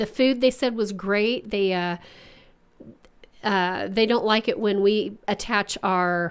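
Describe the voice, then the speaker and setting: Using an Oklahoma accent, a woman talks at a very slow pace at medium pitch with fairly even intonation and long, frequent pauses. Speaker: podcast co-host. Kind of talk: casual chat.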